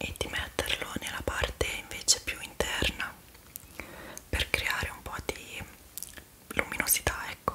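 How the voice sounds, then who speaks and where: A whispering woman at a fairly slow pace, with long, frequent pauses and big swings in loudness. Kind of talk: roleplay addressed to viewer, soft and casual. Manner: soft, hushed ASMR voice. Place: home room. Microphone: phone near.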